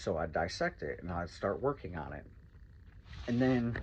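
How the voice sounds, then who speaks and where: A man speaks in a fairly low pitch. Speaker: recovery vlogger. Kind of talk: motivational monologue. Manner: loud.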